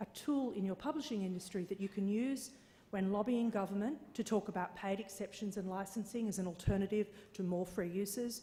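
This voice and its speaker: A woman's somewhat breathy voice with an Australian accent, medium in pitch with ordinary variation, dark and mellow in tone, at a fairly quick pace. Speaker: conference speaker on copyright licensing. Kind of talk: conference presentation. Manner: hesitant with fillers.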